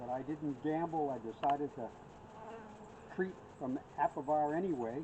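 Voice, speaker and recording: Fairly high-pitched male speech at a moderate pace over noticeable background noise. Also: ordinary pitch variation. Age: 70s. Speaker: beekeeper. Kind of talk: casual chat. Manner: halting.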